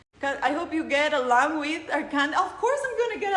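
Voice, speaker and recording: In a Spanish accent, a woman speaks at a moderate pace with ordinary pitch variation and audible room echo. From Costa Rica. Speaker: beauty pageant contestant. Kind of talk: live Q&A.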